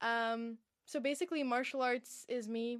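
The woman's pitch is high. She talks with an American accent. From US West Coast (Encinitas, San Diego, California). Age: young (19). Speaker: martial artist and actress, podcast co-host. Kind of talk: casual chat. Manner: animated.

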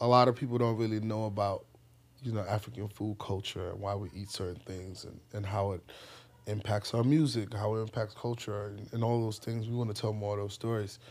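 A man with an ordinary speaking voice talks at a fairly quick pace, fairly low in pitch and with fairly even intonation, on a very clean recording with a silent background. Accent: American. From US, Bronx with Ghanaian family. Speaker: festival founder and CEO. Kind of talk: interview.

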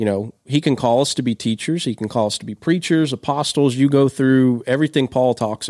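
A man with a Kentucky accent speaks at a fairly quick pace and medium pitch, his dark, mellow tone coming through a dry, close sound with no echo and hardly any pauses. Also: ordinary pitch variation, very clean recording, silent background. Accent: Kentucky Southern US. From central Kentucky. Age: young. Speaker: youth pastor. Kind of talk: casual chat. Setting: studio. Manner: halting, many repeated words.

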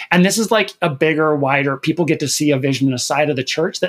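With an American accent, a man speaks in an unremarkable speaking voice, fairly high in pitch with ordinary pitch variation, at a fairly quick pace. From Minnesota, US Midwest. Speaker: fill-in podcast co-host, LGBTQ media advocate. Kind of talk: casual chat.

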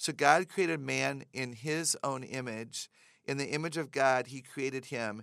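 On a very clean recording with a silent background, a woman speaks at a moderate pace. Her pitch is very deep and low, with ordinary variation. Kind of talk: casual interview conversation about faith.

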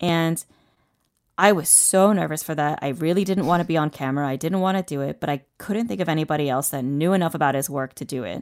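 On a very clean recording with a silent background, a woman with a very deep, low pitch and ordinary pitch variation talks at a very fast pace. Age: 30s. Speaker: combat sports photographer and journalist. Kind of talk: casual interview chat.

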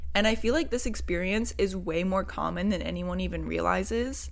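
A woman with an American accent speaks at a moderate pace, her voice carrying audible room echo. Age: 20s. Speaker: podcast host. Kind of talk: personal monologue. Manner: casual, filler-heavy.

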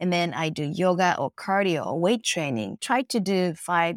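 Fairly low-pitched female speech with a Japanese accent and lively intonation, at a fairly slow pace, in a very clean recording with a silent background and a dry, close sound with no echo. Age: 50s. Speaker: face yoga teacher. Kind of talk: interview; guided exercise.

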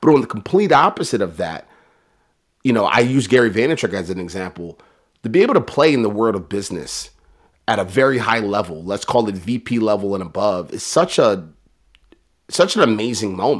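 A man's unremarkable speaking voice, fairly low-pitched, at a fairly quick pace with lively intonation. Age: 30s. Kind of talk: interview. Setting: video call.

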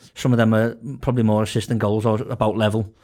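In a Liverpool accent, a man with a dark, mellow tone talks at a very fast pace on a very clean recording with a silent background. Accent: Scouse. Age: 20s. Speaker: football podcast panelist. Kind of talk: casual chat.

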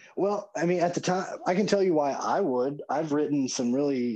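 A man with a Southern US accent, a dark, mellow tone, fairly high pitch, ordinary pitch variation and a moderate pace. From US South. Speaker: horror author. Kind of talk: casual interview chat.

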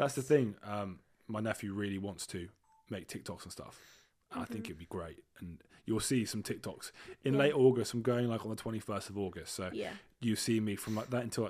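A man with an English accent talks at a fairly quick pace in a fairly low pitch, with ordinary pitch variation and big swings in loudness. His tone is excited, broken by long, frequent pauses. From Britain. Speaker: podcast co-host. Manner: casual, excited.

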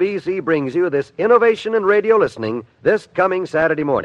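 A man's high-pitched voice, fairly bright in tone, with big pitch swings at a fairly quick pace

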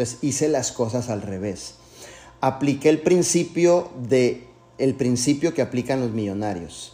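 The delivery is animated, with lively intonation at a fairly slow pace. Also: man, medium pitch for a man. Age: 40s. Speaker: network marketing leader. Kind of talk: motivational talk. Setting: video call.

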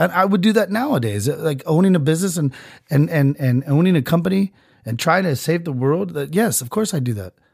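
A man with an animated tone, fairly high pitch, very wide pitch swings, and a fairly quick pace. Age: 30s. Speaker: podcast host. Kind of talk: casual comedic rant.

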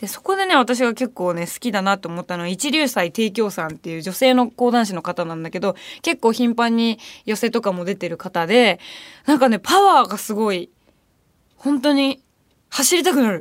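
On a very clean recording with a silent background, a woman's voice shows very wide pitch swings and big swings in loudness. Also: fairly high pitch for a woman, moderate pace. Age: 20s. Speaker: radio host and band vocalist. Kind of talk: casual radio talk. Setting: studio. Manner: animated.

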